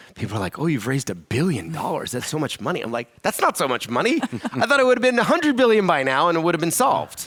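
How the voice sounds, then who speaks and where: A man with an American accent talks at a very fast pace with hardly any pauses. His tone is animated, with vocal fry and very wide pitch swings. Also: fairly high pitch for a man. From US Northeast, Philadelphia area. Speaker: charity founder. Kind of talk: onstage interview.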